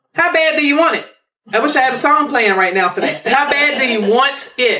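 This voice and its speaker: A woman speaks in a raised, projected voice with a high pitch. Her pace is fairly quick. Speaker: financial planning podcast host. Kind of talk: podcast conversation. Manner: preachy, exhortative.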